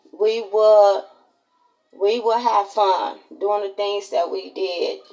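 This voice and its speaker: A woman with an American accent speaks very slowly at a medium pitch in a flat monotone, with long, frequent pauses. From Chicago, Illinois. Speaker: content creator. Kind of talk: casual vlog monologue. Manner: repetitive, self-correcting.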